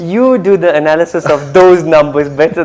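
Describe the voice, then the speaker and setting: Noticeable background noise sits behind a man with a high voice. He speaks fairly slowly with ordinary pitch variation. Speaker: stand-up comedian. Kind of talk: interview answer. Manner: casual, joking.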